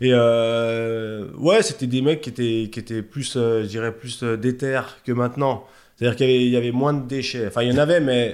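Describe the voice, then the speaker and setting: Fairly even intonation runs through an unremarkable speaking voice. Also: man, medium pitch for a man, moderate pace. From Haute-Savoie, France (Chablais). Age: 40s. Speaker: bodybuilding coach and shop owner. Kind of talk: casual interview chat.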